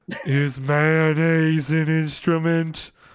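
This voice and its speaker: A man puts on a character voice at a fairly high pitch. His intonation stays monotone and flat. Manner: slow, dim-witted.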